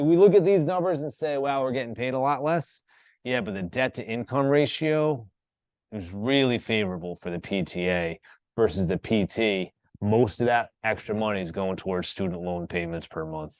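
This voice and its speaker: A man with an American accent, moderate pace and very wide pitch swings. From US Northeast, Rhode Island. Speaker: college instructor. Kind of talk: lecture.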